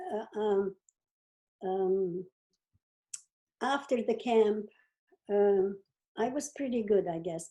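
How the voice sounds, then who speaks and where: A woman speaks with a dark, mellow tone. Her pitch sits fairly high and varies in an ordinary way. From Czechoslovakia (now Ukraine). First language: not English. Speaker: Holocaust survivor and educator. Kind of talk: interview answer.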